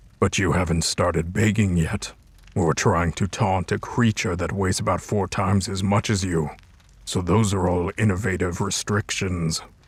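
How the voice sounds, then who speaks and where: Putting on a character voice, a man speaks at a very deep, low pitch. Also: moderate pace. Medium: machinima. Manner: calm, measured, formal.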